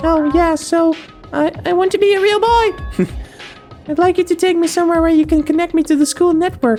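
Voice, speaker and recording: Over clear background music, a squeaky, put-on character voice speaks at a moderate pace with an extremely high pitch. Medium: machinima. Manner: soft, earnest.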